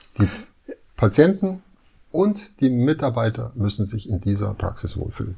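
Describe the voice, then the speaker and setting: The voice has a dark, mellow tone, somewhat breathy, with very wide pitch swings. It moves at a moderate pace, broken by long, frequent pauses. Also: man, medium pitch for a man. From Munich, Bavaria. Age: 50s. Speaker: dentist. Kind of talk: interview, casual chat.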